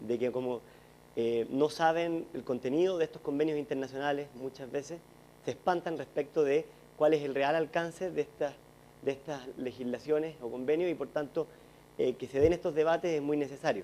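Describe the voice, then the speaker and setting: Speaking at a moderate pace, a man uses a fairly high, dark and mellow voice with fairly even intonation. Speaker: former government official. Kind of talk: panel discussion.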